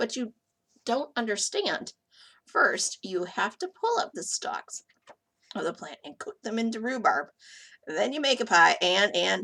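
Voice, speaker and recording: A woman's raspy, put-on character voice, fairly high in pitch, at a moderate pace with long, frequent pauses. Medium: read story. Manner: polite, gentle.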